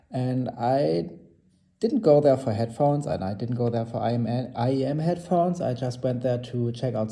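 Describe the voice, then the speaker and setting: Speaking with a non-native accent at a moderate pace, a man uses a medium pitch with a dark, mellow tone that is somewhat breathy. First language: not English. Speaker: hobbyist audio reviewer. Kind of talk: casual product review. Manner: halting, many fillers and restarts.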